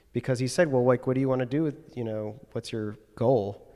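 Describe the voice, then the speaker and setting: Here is a plain, everyday voice with ordinary pitch variation, captured on a very clean recording with a silent background. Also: man. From Chicago area, Evanston. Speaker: watch brand owner. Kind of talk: casual interview. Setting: converted factory building by train tracks.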